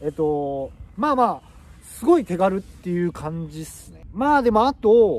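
A man at a moderate pace, dry sound with no echo. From Japan. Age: 40s. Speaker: YouTuber; vlogger. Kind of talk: casual vlog monologue. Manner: casual, filler-heavy. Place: forest. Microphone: phone near.

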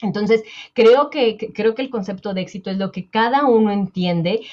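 Her pace is moderate. The woman's pitch varies in an ordinary way. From Mexico. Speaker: personal finance coach. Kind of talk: interview conversation. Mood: warm, reflective, personal. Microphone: earbuds.

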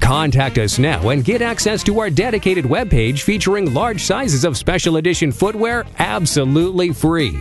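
A man speaks at a high pitch and a moderate pace, with very wide pitch swings, very even loudness, and an upbeat tone. He hardly pauses, and music plays in the background. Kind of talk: infomercial spoof read. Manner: upbeat, salesy.

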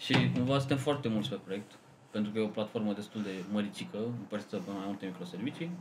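The pace is very fast. The intonation is lively. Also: man, fairly low pitch for a man. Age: 20s. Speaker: software developer. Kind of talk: casual chat.

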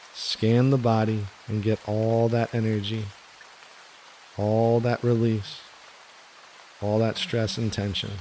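Over noticeable background noise, a man with a soothing tone and medium pitch talks very slowly in a flat monotone, leaving long, frequent pauses. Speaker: meditation guide. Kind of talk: guided meditation. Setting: studio with gentle rain background sound. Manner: slow, soothing.

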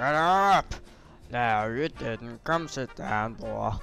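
A man performs a put-on character voice at a very slow pace. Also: medium pitch for a man. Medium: machinima. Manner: condescending.

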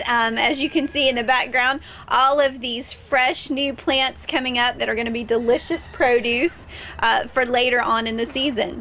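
A woman talks at a moderate pace with a high pitch and fairly even intonation. There is light background noise. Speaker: local TV interviewer. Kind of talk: interview hosting, presenter talk. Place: garden.

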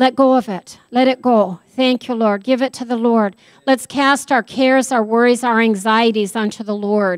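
At a moderate pace and with fairly even intonation, the voice comes through a dry sound with no echo over a quiet background. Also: woman, fairly high pitch for a woman. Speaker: pastor. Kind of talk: sermon. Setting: church. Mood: earnest, prayerful. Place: church. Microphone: handheld.

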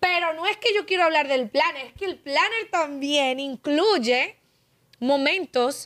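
Lively intonation comes through at a fairly slow pace. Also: woman. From Dominican Republic (La Vega); Dominican Republic. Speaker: podcast host. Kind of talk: casual interview. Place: studio. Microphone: studio mic.

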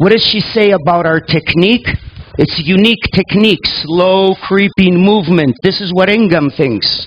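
A man speaks in a high pitch at a fairly slow pace. His pitch varies in an ordinary way. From Canada, raised in Greece (Sparta); Canada. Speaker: reflexologist and lecturer; lecturer. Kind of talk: lecture. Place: hall. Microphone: headset.

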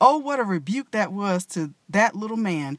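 A woman speaks at a moderate pace, her pitch swinging very widely. The sound is dry with no echo, over a quiet background. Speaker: reader of a historical text. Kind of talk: narration. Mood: earnest, expressive storytelling. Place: car. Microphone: phone near.

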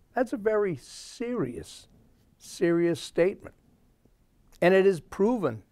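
Dark and mellow in tone, a man speaks with an American accent and lively intonation. The sound is dry with no echo against a quiet background. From Massachusetts, US. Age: 70s. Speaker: talk show host. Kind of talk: political commentary monologue. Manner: rambling, with frequent fillers. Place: studio. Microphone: lapel.

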